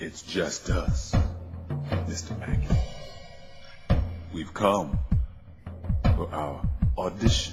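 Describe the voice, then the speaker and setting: Over clear background music, a man uses a put-on character voice with a very deep, low pitch, speaking at a very slow pace with long, frequent pauses. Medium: audio drama. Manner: quiet, commanding, relentless.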